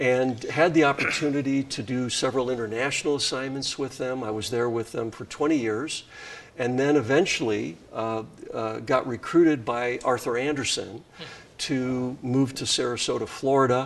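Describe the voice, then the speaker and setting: A man with an American accent speaks in a normal speaking voice at a moderate pace, his medium pitch carried on fairly even intonation. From Wisconsin, US Midwest. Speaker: nonprofit CEO. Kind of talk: interview.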